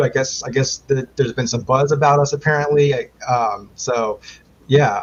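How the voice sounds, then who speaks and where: Somewhat breathy, a man with an American accent talks at a moderate pace and medium pitch. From Maryland, US. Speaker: quiz show contestant hopeful. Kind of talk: podcast interview. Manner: halting, many fillers.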